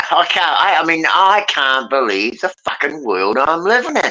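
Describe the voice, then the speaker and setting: The pace of the speech is moderate. It is delivered in a British accent. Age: 70s. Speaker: panel participant. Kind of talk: casual chat. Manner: animated.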